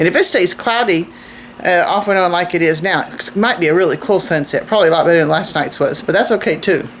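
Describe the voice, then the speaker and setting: Over noticeable background noise, a woman talks very fast at medium pitch with ordinary pitch variation. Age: 60s. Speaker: homesteading vlogger. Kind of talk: casual vlog talk to camera. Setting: outdoors. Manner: halting, with repeated words and fillers.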